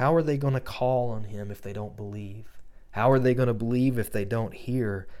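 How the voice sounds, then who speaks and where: With a normal speaking voice, a man talks at a medium pitch and moderate pace with fairly even intonation. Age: 40s. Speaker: pastor. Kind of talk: podcast sermon with personal testimony.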